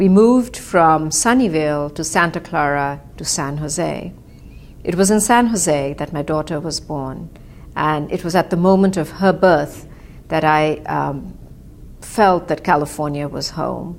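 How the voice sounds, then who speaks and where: In an Indian accent, a woman speaks at a fairly slow pace with a very deep, low pitch and ordinary pitch variation. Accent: Indian English, described as clipped. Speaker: author. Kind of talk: personal storytelling. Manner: reflective, with frequent hesitations.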